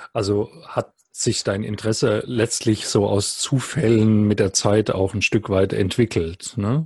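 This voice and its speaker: Somewhat breathy and fairly low-pitched, a man speaks at a fairly slow pace with fairly even intonation and hardly any pauses. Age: 50s. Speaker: podcast host. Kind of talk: interview.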